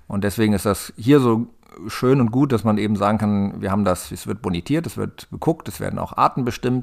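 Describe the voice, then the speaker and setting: Here a man with a fairly low pitch and an unremarkable speaking voice talks at a fairly quick pace with ordinary pitch variation. The recording is very clean, with a silent background. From northern Germany, Hanover area (Lower Saxony). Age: 40s. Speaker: farmer. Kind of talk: interview.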